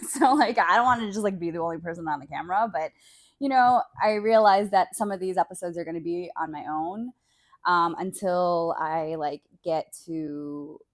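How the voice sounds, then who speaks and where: A woman with an unremarkable speaking voice talks at a moderate pace and a fairly low pitch with ordinary pitch variation, on a very clean recording with a silent background. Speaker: solo podcaster. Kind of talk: casual solo podcast monologue. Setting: bedroom, on a bed. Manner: casual, filler-heavy.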